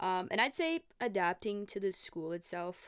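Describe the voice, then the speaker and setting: On a very clean recording with a silent background, a woman with a Portuguese accent speaks at a moderate pace in a medium pitch with ordinary pitch variation. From Brazil. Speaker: podcast host. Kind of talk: casual solo chat. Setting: home.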